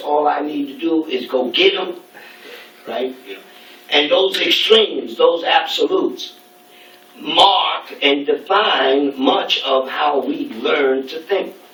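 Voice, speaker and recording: There is noticeable background noise and audible room echo as a man with an American accent speaks at a very slow pace. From New York City, Brooklyn. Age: 60s. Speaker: speaker at a student event. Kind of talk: lecture. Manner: halting.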